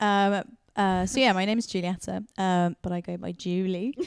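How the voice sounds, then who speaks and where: Speaking with a British accent, a woman keeps a medium pitch and fairly even intonation. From England (raised in UK, born Argentina). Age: 30s. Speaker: podcast host, missionary worker. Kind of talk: casual chat. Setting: studio, filmed podcast.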